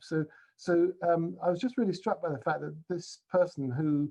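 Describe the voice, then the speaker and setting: A man speaks with a British accent and ordinary pitch variation. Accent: non-Scottish British. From England. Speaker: university principal, speaker. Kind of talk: keynote talk. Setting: video call. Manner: halting, with many fillers.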